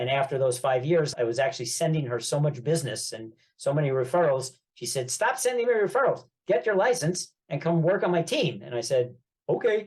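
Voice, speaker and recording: With a New York accent, a man talks at a fairly quick pace, somewhat breathy and with lively intonation. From New York, Long Island (Great Neck). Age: 70s. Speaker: real estate investor and business coach. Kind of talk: podcast interview. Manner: talkative.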